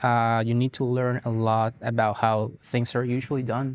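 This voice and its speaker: In a Spanish accent, a man speaks at medium pitch. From Colombia (Bogota). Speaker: guitarist and music teacher. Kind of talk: interview. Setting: on camera interview. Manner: hesitant, many fillers.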